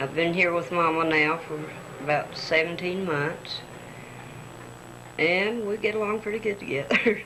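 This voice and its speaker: A woman's fairly low-pitched voice at a moderate pace, with ordinary pitch variation, long and frequent pauses, audible room echo and noticeable background noise. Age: 60s. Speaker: daughter speaking to her mother. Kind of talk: family tribute on tape.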